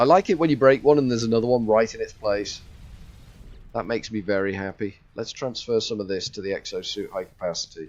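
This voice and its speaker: This speaker talks at a very fast pace with a Liverpool accent. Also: man, medium pitch for a man, ordinary pitch variation. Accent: Scouse. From northwest England, Liverpool area. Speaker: video game streamer. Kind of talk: live gameplay commentary. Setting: live stream. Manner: chatty, talkative.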